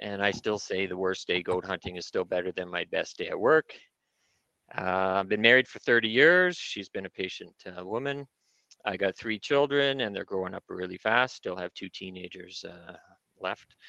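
A man's bright, sharp tone at a moderate pace with ordinary pitch variation. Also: fairly low pitch for a man, dry, close sound with no echo. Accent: Canadian. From British Columbia, Canada (Prince George area). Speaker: mountain goat hunter, conservation board member. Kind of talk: livestream presentation.

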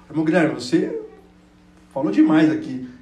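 A man speaks with audible room echo. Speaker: preacher. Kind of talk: sermon. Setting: church.

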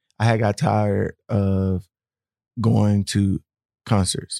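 Very slowly and at a fairly low pitch, a man speaks in a dark, mellow tone, the very clean recording dry and close with no echo and a silent background. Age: 30s. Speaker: gospel artist. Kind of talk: casual chat.

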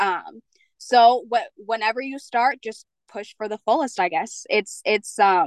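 At a moderate pace with long, frequent pauses, a woman with a Mid-Atlantic accent speaks at a fairly high pitch with lively intonation and big swings in loudness, in a dry, close sound with no echo. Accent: American, mid-Atlantic. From Pennsylvania. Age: 20s. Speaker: fashion model. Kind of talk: interview. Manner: hesitant, many fillers.

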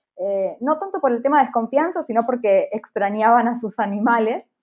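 A woman with a fairly high pitch talks at a moderate pace with ordinary pitch variation, an ordinary speaking voice. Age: 30s. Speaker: traveling pet sitter. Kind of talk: interview testimony.

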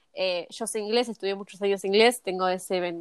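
A plain, everyday voice, a woman at a medium pitch with lively intonation and a fairly quick pace, dry and close with no echo, in a very clean recording over a silent background. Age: 20s. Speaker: cosmetologist. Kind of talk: interview.

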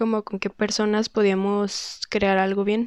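A woman speaks at a fairly slow pace in a fairly high pitch, and the sound is dry and close with no echo. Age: 20s. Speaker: rock guitarist and singer. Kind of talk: interview.

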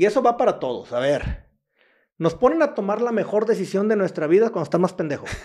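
In a quiet background, a man speaks with a western Mexican accent at a fairly quick pace. His high voice makes very wide pitch swings. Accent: Mexican Spanish (western Mexico). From Mexico, Jalisco coast. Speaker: entrepreneur. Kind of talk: interview, casual chat.

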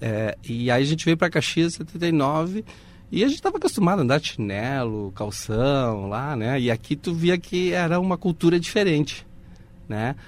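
On a very clean recording with a silent background, a man with a fairly high pitch talks at a moderate pace, his pitch swinging very widely. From Uruguay. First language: Spanish (speaking Portuguese). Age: 50s. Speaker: audiovisual producer. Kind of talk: interview.

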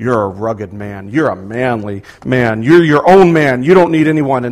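Putting on a character voice, a man uses lively intonation at a medium pitch. He keeps a moderate pace. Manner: macho, persuasive.

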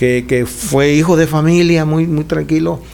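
A man has a plain, everyday voice at a fairly high pitch. He talks at a moderate pace with ordinary pitch variation. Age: 60s. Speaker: pastor. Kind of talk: casual chat.

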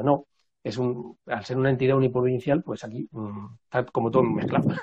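Flat and monotone, a man speaks at a medium pitch. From Madrid, Spain. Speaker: traditional music researcher and musician. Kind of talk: casual interview. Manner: halting.

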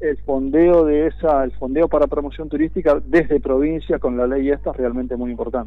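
A man with an Argentine accent talks at a fairly quick pace with hardly any pauses. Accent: Argentine Spanish (rioplatense voseo). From Argentina, Viedma (Río Negro). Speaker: city councillor. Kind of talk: radio interview. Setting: phone call.

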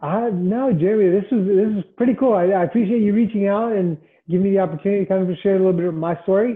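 Speaking very fast in a Mid-Atlantic American accent, a man holds a very even loudness. His high voice shows ordinary pitch variation. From Washington DC area (northern Virginia). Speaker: government IT executive. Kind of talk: interview.

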